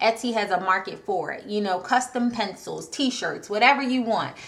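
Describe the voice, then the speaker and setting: Over noticeable background noise, a woman with a fairly high pitch speaks in an animated tone with ordinary pitch variation. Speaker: online marketing coach. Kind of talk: tutorial. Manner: fast.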